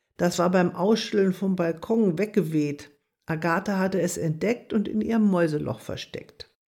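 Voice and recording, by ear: Reading aloud in a natural voice with ordinary pitch variation, against a quiet background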